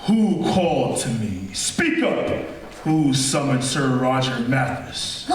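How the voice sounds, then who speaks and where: Someone performs a put-on character voice at a fairly slow pace. There is a strong echo. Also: man, medium pitch for a man. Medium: stage play. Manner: archaic thee-and-thou speech, menacing.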